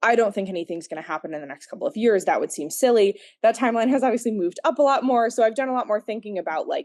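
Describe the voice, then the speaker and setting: A woman with an American accent rattles along at a very fast pace, hardly pausing, her intonation lively. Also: fairly high pitch for a woman. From United States. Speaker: former museum docent. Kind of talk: interview answer. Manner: many fillers, um and like.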